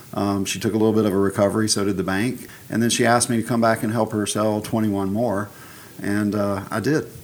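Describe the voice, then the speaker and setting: In a Southern US accent, a man speaks fairly quickly with monotone, flat intonation. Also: fairly low pitch for a man. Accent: Southern US, noticeable. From Alabama, US South. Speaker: real estate broker and owner. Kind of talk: casual interview chat.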